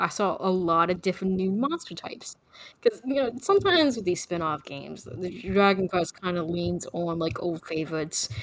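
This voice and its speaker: A woman with a normal speaking voice talks at a medium pitch and a fairly quick pace, with hardly any pauses. Her intonation is lively. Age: 30s. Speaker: podcast co-host. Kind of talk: casual chat.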